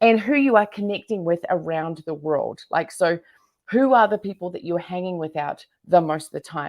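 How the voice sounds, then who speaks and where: This woman speaks with a New Zealand accent and lively intonation at a moderate pace. The recording is very clean and the background silent. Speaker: entrepreneur and business coach. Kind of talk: interview. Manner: animated.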